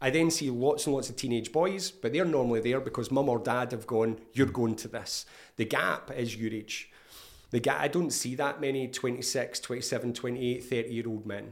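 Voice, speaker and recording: Man of medium pitch with a Scottish accent, ordinary pitch variation and a fairly quick pace. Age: 50s. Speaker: therapist. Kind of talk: casual interview.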